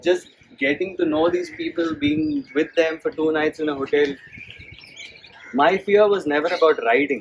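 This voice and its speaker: Soft-spoken speech at a moderate pace, with long, frequent pauses and noticeable background noise. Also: man, fairly high pitch for a man, ordinary pitch variation. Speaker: amateur cyclist. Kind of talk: talk to an audience.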